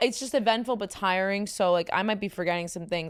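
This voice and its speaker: A woman speaks loudly in a strong New York accent. The recording is very clean, with a silent background. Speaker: podcast host. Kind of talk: casual chat. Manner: fast, filler-heavy.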